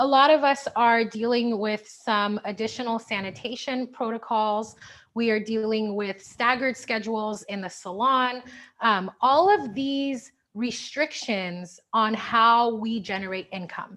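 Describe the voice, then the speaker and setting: With a plain, everyday voice, a woman speaks at a fairly slow pace, her pitch fairly high and its variation ordinary. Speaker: hair stylist and product educator. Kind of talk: webinar presentation. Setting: video call.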